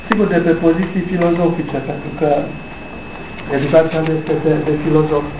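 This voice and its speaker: The speaker talks at a moderate pace. Light background noise can be heard. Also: man. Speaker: author. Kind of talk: book launch talk. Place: hall. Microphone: camera far.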